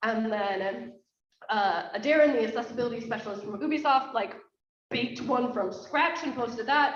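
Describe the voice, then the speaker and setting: A woman with an American accent talks at a moderate pace in a fairly high pitch, her pitch moving in an ordinary way, with audible echo from the room. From United States. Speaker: conference host. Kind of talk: conference opening remarks. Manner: casual, filler-heavy.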